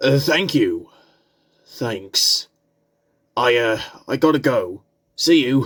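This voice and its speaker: Putting on a character voice, a man speaks very slowly in a raspy, fairly high pitch. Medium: audio drama. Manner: anxious, earnest.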